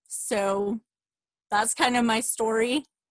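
Monotone, flat intonation marks this woman's fairly high voice at a very slow pace. The sound is dry with no echo, over a quiet background. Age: 30s. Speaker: fitness coach. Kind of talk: testimony. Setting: video call.

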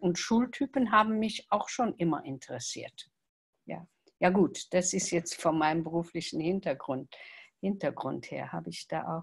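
A somewhat breathy woman speaks at a fairly slow pace and a fairly low pitch with lively intonation. Her loudness swings widely over a quiet background. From Luxembourg. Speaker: salon organiser. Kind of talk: casual chat. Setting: video call. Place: home room. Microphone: video call.

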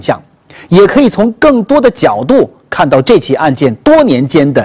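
The speaker's pitch makes very wide swings against a quiet background. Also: man. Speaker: TV program host. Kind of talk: news presentation. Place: studio. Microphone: lapel.

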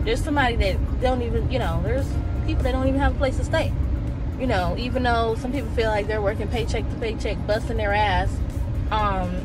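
With clear music in the background, a woman speaks at a very fast pace in a dry sound with no echo. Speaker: vlogger. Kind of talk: casual vlog chat. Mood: earnest, preachy opinion. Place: car. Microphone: phone near.

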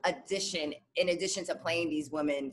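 Over light background noise, a woman speaks fairly quickly in a fairly low pitch with a bright, sharp tone. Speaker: actress interviewee. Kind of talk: interview answer. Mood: cheerful, animated. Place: home room. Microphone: video call.

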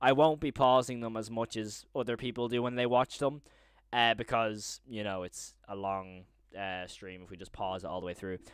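Man with an Irish accent at a moderate pace, ordinary pitch variation, big swings in loudness, dry sound with no echo, and a quiet background. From Ireland. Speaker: YouTuber live streaming horror series breakdown. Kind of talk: live stream commentary to chat. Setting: home live stream with chat. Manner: animated. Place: home room. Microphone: studio mic.

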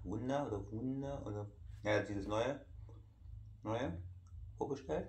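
With audible room echo around him, a man at a medium pitch speaks fairly slowly. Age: 30s. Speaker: YouTuber. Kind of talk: casual vlog talk while eating. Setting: at home in living room. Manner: halting.

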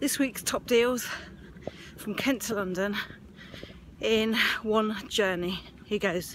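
A woman speaks at a slow pace over faint background noise. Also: medium pitch for a woman, ordinary pitch variation.

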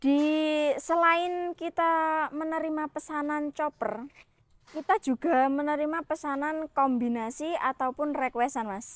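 A woman talks at a high pitch and fairly slow pace. Her pitch varies in an ordinary way, and the sound is dry with no echo. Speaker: machine shop saleswoman demonstrating equipment. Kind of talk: sales pitch, product demo. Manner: brisk pitchman-style patter, upbeat, listing specs and promo price; friendly, matter-of-fact, answers host's prompts. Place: workshop. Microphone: lapel.

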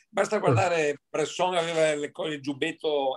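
Speaking at a very fast pace, a man keeps his intonation fairly even. His pitch sits fairly high. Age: 60s. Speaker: amateur photographer, audience member. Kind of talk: casual chat.

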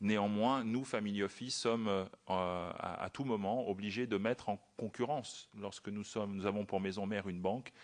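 At a moderate pace, a man speaks with a fairly low pitch over a quiet background. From France. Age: 40s. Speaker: former private banker, wealth manager. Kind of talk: parliamentary hearing testimony. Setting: committee hearing room. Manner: halting.

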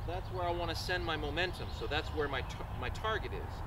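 Fairly quick speech from a man, with noticeable background noise behind it. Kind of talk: tutorial. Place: open country.

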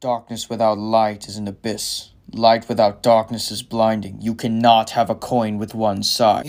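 Speaking at a moderate pace with hardly any pauses, a man uses a medium pitch. His intonation is monotone and flat. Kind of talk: mock-grave melodrama. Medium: fan dub. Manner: solemn, dramatic, then exasperated.

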